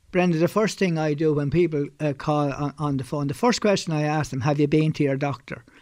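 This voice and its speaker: Over a very clean, silent background, a man with an Irish accent talks at a fairly quick pace in a fairly high pitch with ordinary pitch variation. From Ireland (County Carlow). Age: 70s. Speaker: bioenergy therapist, former butcher. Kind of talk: interview; guided healing instructions. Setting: clinic.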